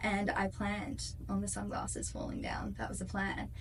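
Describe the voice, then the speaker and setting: A speaker talks in an Australian accent. Audible room echo and noticeable background noise fill the recording. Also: woman. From Perth, Western Australia. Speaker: singer-songwriter. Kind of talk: interview. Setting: studio. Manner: animated.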